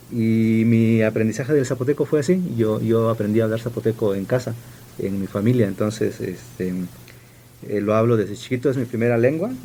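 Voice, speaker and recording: A man with a medium pitch speaks fairly quickly, his pitch shifting in an ordinary way. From Sierra Juárez, Oaxaca, Mexico (Zapotec village). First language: Zapotec (speaking Spanish). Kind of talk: radio interview.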